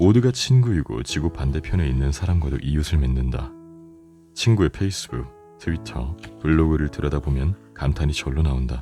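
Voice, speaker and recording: Soft-spoken and calm, a man with a very deep, low voice talks with lively intonation over music in the background. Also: moderate pace. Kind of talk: audiobook reading for sleep. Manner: soft, calm.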